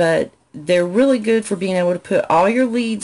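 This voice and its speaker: A woman with a Southern accent talks with ordinary pitch variation. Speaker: business coach. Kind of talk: live stream Q&A tutorial. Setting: live video stream from home. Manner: conversational, frequent fillers.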